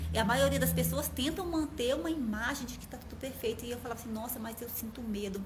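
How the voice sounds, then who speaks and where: Audible room echo and noticeable background noise surround a woman who talks at a fairly quick pace. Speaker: numerology coach. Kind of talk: live stream talk. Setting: Instagram live.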